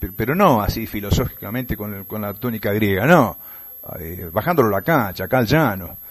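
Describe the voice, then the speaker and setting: A man with a normal speaking voice and a fairly low pitch talks at a fairly quick pace. His intonation is lively, and his loudness swings a lot. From Buenos Aires province, Argentina (Morón, western Greater Buenos Aires). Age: 60s. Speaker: tour guide and radio announcer. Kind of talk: radio interview. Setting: remote connection from another province.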